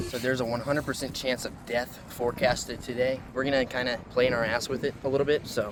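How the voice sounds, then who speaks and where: A man's medium-pitched voice, monotone and flat, at a very fast pace over noticeable background noise. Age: young. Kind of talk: casual talk to camera, vlog-style. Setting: outdoors. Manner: joking, profane.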